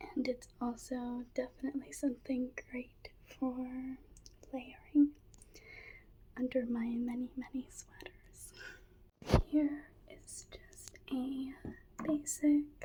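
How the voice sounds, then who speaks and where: Whispering and soft-spoken, a woman talks at a very slow pace with long, frequent pauses and big swings in loudness. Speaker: ASMR creator. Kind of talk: ASMR thrift haul, casual talk to camera. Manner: soft-spoken, whispered.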